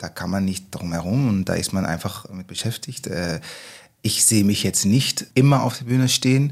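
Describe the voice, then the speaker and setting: A man speaks at a moderate pace in a fairly low voice, with ordinary pitch variation. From Netherlands. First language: Dutch (speaking German). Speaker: musical actor. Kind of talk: casual chat.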